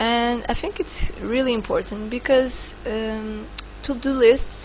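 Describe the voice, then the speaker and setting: Amid noticeable background noise, a woman with a non-native accent speaks at a fairly slow pace. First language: not English. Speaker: online course instructor. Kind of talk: tutorial. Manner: halting, many fillers.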